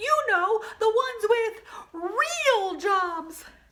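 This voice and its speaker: A female-sounding, squeaky put-on character voice carries a playful, deadpan tone. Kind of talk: storytime reading with comic asides. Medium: read story. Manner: playful, sly deadpan asides.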